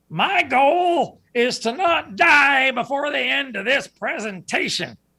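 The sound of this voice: A put-on character voice, high-pitched, delivers its lines at a fairly slow pace.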